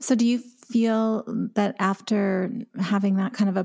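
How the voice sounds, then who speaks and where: With a Canadian accent, a woman speaks in a medium-pitched, somewhat breathy voice with a dark, mellow tone. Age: 50s. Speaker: podcast host and recovery author. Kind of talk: interview.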